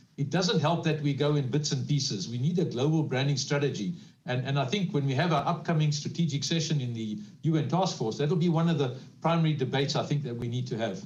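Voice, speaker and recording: A man talks very fast in a fairly high, somewhat breathy voice with ordinary pitch variation. There is audible room echo. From South Africa. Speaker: panelist on social economy. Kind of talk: panel discussion.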